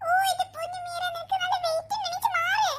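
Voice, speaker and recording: A squeaky, cartoonish character voice with an extremely high pitch runs at a fairly quick pace. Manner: fussing, exclaiming.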